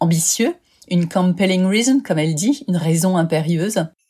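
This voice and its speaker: A woman speaks at a moderate pace and medium pitch, somewhat breathy, with a dark, mellow tone, lively intonation, and an upbeat tone. The recording is very clean, with a silent background. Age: 50s. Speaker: life coach and podcaster. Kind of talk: podcast self-presentation.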